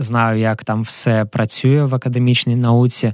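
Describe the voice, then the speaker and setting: Over a quiet background, a man talks at a medium pitch with monotone, flat intonation. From Ukraine, Kharkiv. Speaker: physical chemist, entrepreneur. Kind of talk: interview. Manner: halting.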